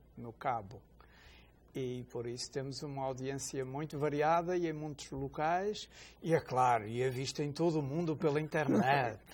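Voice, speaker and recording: There is a man with a plain, everyday voice, ordinary pitch variation and a moderate pace, on a very clean recording with a silent background. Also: fairly high pitch for a man. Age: 60s. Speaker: deacon, religious TV host. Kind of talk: religious TV talk show, casual conversation.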